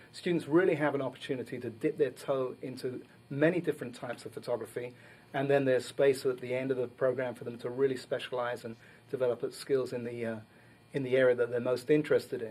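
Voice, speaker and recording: A man with a strong British accent, very fast delivery, medium pitch and fairly even intonation. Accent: British accent, still strong. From London, England. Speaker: photography instructor. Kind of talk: TV interview.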